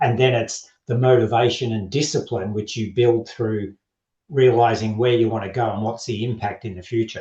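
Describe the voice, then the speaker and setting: A man with an Australian accent speaks at a medium pitch and a moderate pace, his voice somewhat breathy. His tone is dark and mellow, with fairly even intonation. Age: 60s. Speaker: men's health coach. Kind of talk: podcast interview. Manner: straight-talking.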